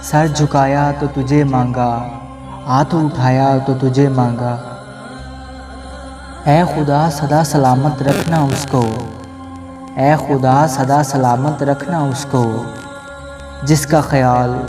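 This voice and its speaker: Music plays in the background as a man speaks at a fairly high pitch. His intonation is monotone and flat. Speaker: radio jockey. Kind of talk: poetry reading.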